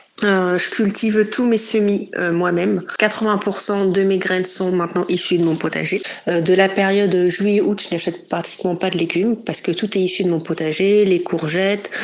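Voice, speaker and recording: Flat, monotone delivery from a woman over noticeable background noise. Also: medium pitch for a woman, moderate pace. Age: 30s. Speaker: smallholder, home gardener. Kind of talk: interview. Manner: hesitant, many fillers.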